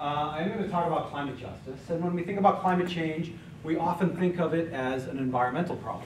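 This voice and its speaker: Noticeable background noise and audible room echo fill the space. A man talks at a very fast pace with ordinary pitch variation. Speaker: college professor guest speaker. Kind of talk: lecture. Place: classroom.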